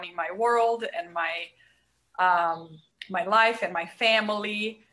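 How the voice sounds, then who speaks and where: Speaking at a very slow pace with a Brazilian accent, a woman uses a bright, sharp tone and fairly even intonation. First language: Portuguese. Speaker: marriage and family therapist. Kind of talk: podcast interview.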